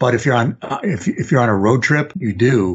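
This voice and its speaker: Somewhat breathy, a man with an American accent speaks with ordinary pitch variation. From US Midwest, Chicago area. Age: 60s. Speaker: journalist. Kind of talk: casual interview. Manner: hesitant, many fillers.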